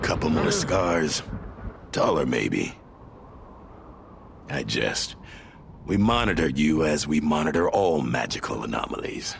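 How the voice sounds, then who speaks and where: Over clear background noise, a man uses a put-on character voice with a very deep, low pitch. He talks fairly slowly, with long, frequent pauses. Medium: video game. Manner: wry, teasing, laughs often.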